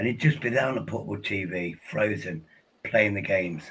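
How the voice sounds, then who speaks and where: Here is a man with an English accent. His pitch is fairly low. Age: 50s. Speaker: podcast host. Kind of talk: casual chat.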